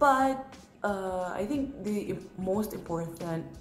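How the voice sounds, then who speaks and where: A strong Filipino accent with audible room echo and music in the background. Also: woman. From Philippines. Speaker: international college student. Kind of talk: casual talk to camera. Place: home room. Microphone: phone near.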